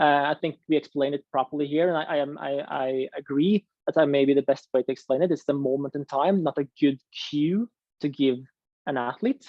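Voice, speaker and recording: With a non-native accent, the speaker goes at a fairly quick pace. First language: not English. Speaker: ski coaching presenter. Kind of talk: online coaching workshop.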